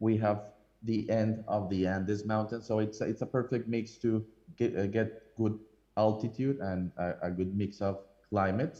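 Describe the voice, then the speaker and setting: At a moderate pace, this voice carries a dark, mellow tone. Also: man. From Colombia. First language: Spanish. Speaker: coffee importer. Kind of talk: presentation with slides. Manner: hesitant with many fillers.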